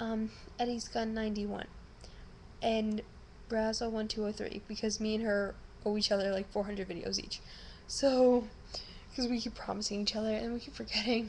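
Over light background noise, a woman talks at a moderate pace in a monotone, flat intonation broken by long, frequent pauses. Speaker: vlogger. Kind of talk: casual vlog chat. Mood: subdued but grateful. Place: home room. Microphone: webcam.

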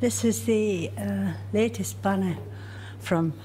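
A woman speaks with a very deep, low pitch. Her pitch swings very widely. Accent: Durham. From County Durham, northeast England. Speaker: miner's daughter. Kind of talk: interview.

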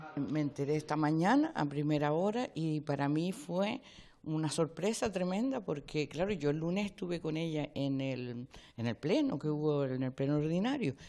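A woman's very deep, low voice with a dark, mellow tone and ordinary pitch variation, over a quiet background. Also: moderate pace. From Canary Islands, Lanzarote (Arrecife); Canary Islands. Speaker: local politician. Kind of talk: news interview. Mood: surprised, earnest. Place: hall. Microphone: handheld.

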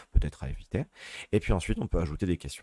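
A man's very deep, low-pitched voice, dark and mellow in tone, with vocal fry. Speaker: teacher. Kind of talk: tutorial. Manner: hesitant, many fillers.

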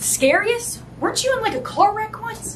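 A woman talks at a moderate pace. Light background noise runs under her voice. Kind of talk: comedy sketch dialogue. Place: home room.

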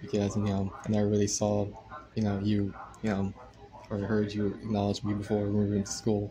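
Noticeable background noise sits behind this voice. The pace is fairly quick, the intonation monotone and flat, with long, frequent pauses. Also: man, fairly low pitch for a man. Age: 20s. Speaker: content creator; live streamer. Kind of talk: casual chat. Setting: livestream. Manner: hesitant, many filler words. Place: home room. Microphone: phone near.

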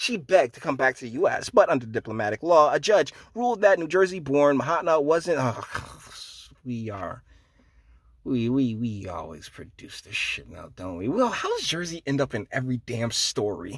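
At a moderate pace, a man with a fairly high pitch swings very widely in pitch and makes big swings in loudness. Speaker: commentary YouTuber. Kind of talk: angry rant. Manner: sarcastic, dismissive; casual, slangy, emphatic.

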